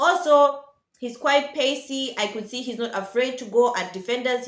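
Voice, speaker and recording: In a room with audible echo, a woman speaks in a fairly high voice with an animated tone. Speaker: football vlogger. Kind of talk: casual vlog commentary. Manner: fast.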